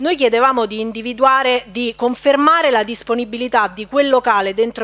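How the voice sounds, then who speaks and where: Using a plain, everyday voice, a woman talks with ordinary pitch variation. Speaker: local councillor. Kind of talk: formal council speech. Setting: council chamber. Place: hall.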